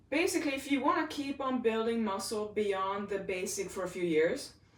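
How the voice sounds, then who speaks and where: Lively intonation from a woman at a moderate pace, with audible room echo. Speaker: fitness trainer. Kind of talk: live workout tutorial. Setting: livestream. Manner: loud; animated.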